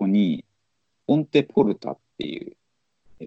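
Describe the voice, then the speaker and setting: A man is speaking. His pace is moderate. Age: 40s. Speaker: podcast host. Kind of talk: casual chat.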